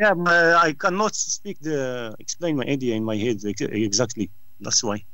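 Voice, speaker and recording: A man speaks at medium pitch with a bright, sharp tone. His pace is moderate and his pitch swings very widely. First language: not English. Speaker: debate club participant. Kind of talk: online group discussion. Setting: Skype call. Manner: halting, many restarts.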